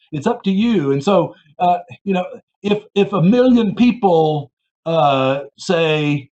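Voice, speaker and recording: The intonation here is lively. It belongs to a man. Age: 60s. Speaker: political science professor. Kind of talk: interview. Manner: halting, many fillers.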